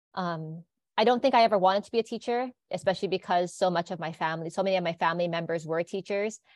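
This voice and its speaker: Over a quiet background with a dry, close sound with no echo, a woman with a Hawaiian accent speaks very fast at a medium pitch with ordinary pitch variation. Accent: Hawaii English. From Hawaii (Hilo). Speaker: biology teacher. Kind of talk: interview conversation.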